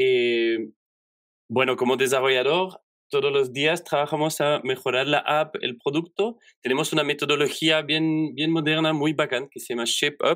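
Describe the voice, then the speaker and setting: Captured in a very clean recording with a silent background, a man with a fairly high pitch speaks at a moderate pace with fairly even intonation. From Belgium. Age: 30s. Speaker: software developer. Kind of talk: interview. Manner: halting.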